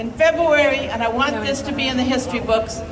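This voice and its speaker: Against noticeable background noise and audible room echo, a woman talks at a high pitch and a moderate pace with fairly even intonation. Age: 60s. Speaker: activist. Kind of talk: protest rally speech. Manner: impassioned.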